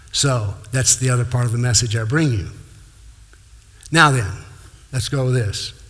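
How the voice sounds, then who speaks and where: With audible room echo, a man speaks at a medium pitch with ordinary pitch variation. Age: 70s. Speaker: former professor and lecturer on Islam. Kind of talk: lecture. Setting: talk to live audience, filmed for TV.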